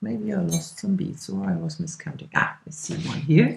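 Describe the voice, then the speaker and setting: A woman speaks with a German accent and a very deep, low pitch. Vocal fry runs through her voice. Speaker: craft instructor. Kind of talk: tutorial. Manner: casual, with fillers and hesitations.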